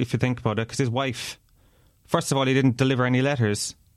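This man speaks with a Kerry accent. His recording is very clean and the background is silent. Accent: Irish (Kerry). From Ireland, Tralee, County Kerry. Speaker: podcast guest. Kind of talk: casual chat.

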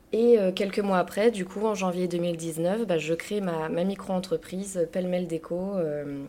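Noticeable background noise sits behind a woman speaking at a fairly slow pace, medium in pitch, with ordinary pitch variation. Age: 30s. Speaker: interior decorator. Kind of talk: interview. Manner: hesitant, many fillers.

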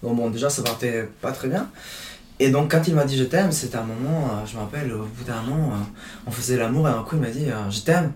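Speaking with a Spanish accent at a fairly quick pace broken by long, frequent pauses, a man at medium pitch uses ordinary pitch variation amid audible room echo and noticeable background noise. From Chile. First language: Spanish (speaking French). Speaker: podcast guest. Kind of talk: casual chat.

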